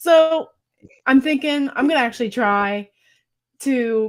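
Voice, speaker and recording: A woman at a fairly slow pace with ordinary pitch variation, on a very clean recording with a silent background. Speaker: home canning video host. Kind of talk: casual livestream chat. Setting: livestream.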